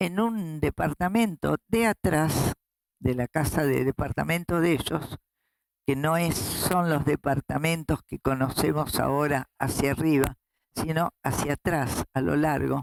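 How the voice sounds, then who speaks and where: A woman speaks with a very deep, low pitch and ordinary pitch variation at a fairly slow pace. Her loudness stays very even, and the sound is dry and close with no echo. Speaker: human rights activist, founding grandmother of a search association; retired school director. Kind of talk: interview answer.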